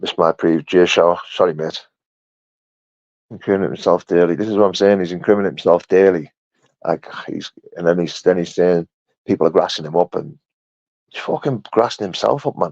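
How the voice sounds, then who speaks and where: With a Yorkshire accent, a man talks in a very deep, low pitch with ordinary pitch variation. Long, frequent pauses break up his speech, and the sound is dry and close with no echo. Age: 30s. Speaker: bare-knuckle fighter. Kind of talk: live stream chat reading comments. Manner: animated.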